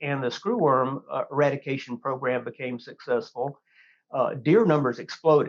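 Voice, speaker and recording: This man has a Texan accent and a fairly high pitch. He speaks at a moderate pace with ordinary pitch variation. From Texas Hill Country. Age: 60s. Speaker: hunting magazine editor. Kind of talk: podcast interview.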